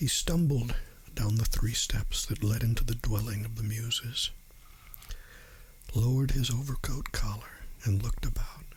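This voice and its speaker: The speech moves at a moderate pace in a gentle tone, with long, frequent pauses. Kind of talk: ASMR audiobook reading. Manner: soft, gentle.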